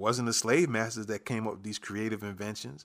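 The speaker has a plain, everyday voice with an American accent. Pitch varies in an ordinary way. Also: man. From New York, the Bronx. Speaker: podcast host. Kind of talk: casual solo commentary.

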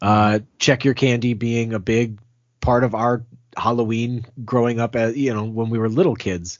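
A man with an unremarkable speaking voice at a medium pitch. His intonation is fairly even and his pace moderate. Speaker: podcast host. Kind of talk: casual banter between co-hosts.

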